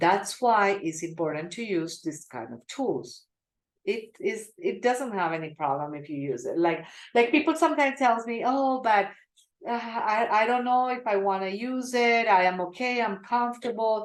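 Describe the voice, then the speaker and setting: The voice belongs to a woman with medium pitch. Her pitch swings very widely. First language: not English. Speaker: small business advisor. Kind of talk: webinar tutorial.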